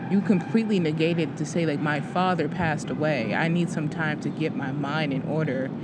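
Amid noticeable background noise and audible room echo, a woman with a very deep, low pitch speaks at a fairly quick pace with hardly any pauses. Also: ordinary pitch variation. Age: 20s. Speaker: podcast co-host. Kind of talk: casual chat.

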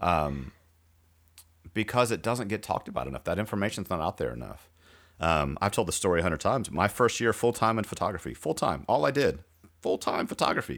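A man at a fairly quick pace and fairly low pitch, with vocal fry and very wide pitch swings, in a very clean recording with a silent background. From rural area. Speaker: podcast host. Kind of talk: casual chat.

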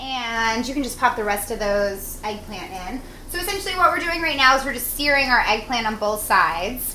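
Noticeable background noise accompanies a woman whose high voice swings very widely in pitch. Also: moderate pace. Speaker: chef and food stylist host. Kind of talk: casual cooking show chat. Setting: home kitchen apartment.

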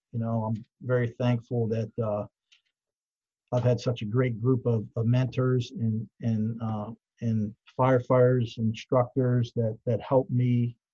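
The sound is dry and close with no echo as a man speaks at a fairly slow pace in a somewhat breathy, dark, mellow tone with monotone, flat intonation. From Pittsburgh area, US. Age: 60s. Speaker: fire chief. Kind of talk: interview.

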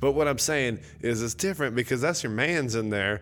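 On a very clean recording with a silent background, an unremarkable speaking voice proceeds at a moderate pace. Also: man. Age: 40s. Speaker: podcast host. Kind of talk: casual chat. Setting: home.

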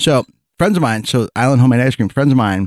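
A man's voice is heard in a very clean recording with a silent background. The sound is dry and close, with no echo. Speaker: podcast co-host. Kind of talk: casual chat.

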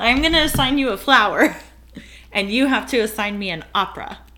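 Speaking with an American accent, a woman has a bright, sharp tone. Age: 30s. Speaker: podcast host. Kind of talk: casual chat.

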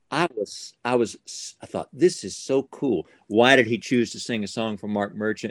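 An ordinary speaking voice moves at a moderate pace with hardly any pauses, ordinary pitch variation, and big swings in loudness. The sound is dry and close, with no echo. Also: man, medium pitch for a man. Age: 60s. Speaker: ventriloquist. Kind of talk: casual interview chat. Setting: video call.

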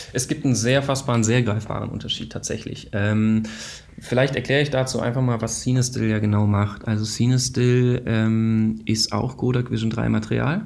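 Audible room echo and noticeable background noise surround this man's voice. He speaks at a medium pitch with fairly even intonation. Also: moderate pace. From Baden-Württemberg, Germany, partly Israel. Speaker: film company founder. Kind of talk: interview.

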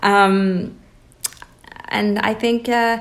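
A woman's voice with audible room echo. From Iran (Tehran), moved to Toronto at 13. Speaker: artist and hat designer. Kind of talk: interview conversation. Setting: at guest's home. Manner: hesitant, many fillers.

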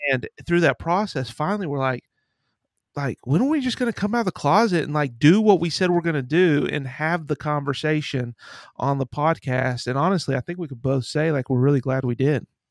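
A man with an unremarkable speaking voice and a fairly high pitch talks at a fairly quick pace, recorded very cleanly, dry and close, with a silent background and no echo. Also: ordinary pitch variation. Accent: American. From Ohio and Pennsylvania. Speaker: podcaster and addiction counselor. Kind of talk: casual chat.

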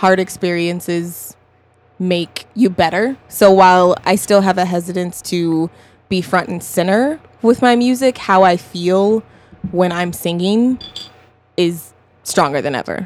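A woman speaks in a plain, everyday voice with an American accent. Her pitch is medium and her pace fairly slow. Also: ordinary pitch variation. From US West (Colorado). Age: 20s. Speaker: singer-songwriter. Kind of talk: casual chat. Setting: studio.

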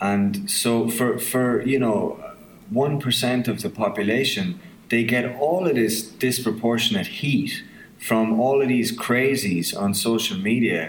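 Noticeable background noise sits behind a man with an Irish midlands accent and medium pitch. He speaks very slowly with lively intonation and very even loudness. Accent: Irish midlands, southern Irish. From County Offaly, Ireland. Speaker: film writer-director. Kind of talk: casual interview chat.

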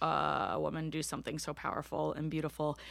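A woman with an American accent and a very deep, low pitch, on a very clean recording with a silent background. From US, Bowie, Maryland (DC suburbs). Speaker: drummer and activist. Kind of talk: interview conversation. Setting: home basement studio.

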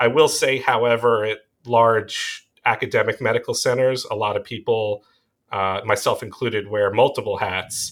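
At a moderate pace, a man speaks with a slight Long Island accent in a very clean recording against a silent background. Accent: slight Long Island New York. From US Northeast (Long Island, New York). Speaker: pediatric emergency doctor. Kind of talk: casual interview.

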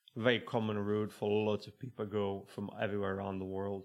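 The man's pitch is fairly low and barely moves, and he talks at a moderate pace.

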